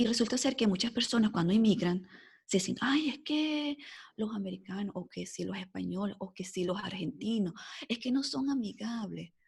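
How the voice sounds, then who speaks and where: Her voice sits fairly high for a woman, with lively intonation and vocal fry. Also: moderate pace. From Venezuela (Caracas). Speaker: epidemiologist. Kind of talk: podcast interview. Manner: animated.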